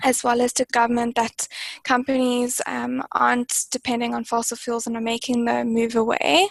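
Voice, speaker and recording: A woman with a South African accent at a moderate pace, her intonation fairly even. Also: fairly high pitch for a woman, dry, close sound with no echo. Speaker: climate target specialist. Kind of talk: webinar panel discussion. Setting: online webinar.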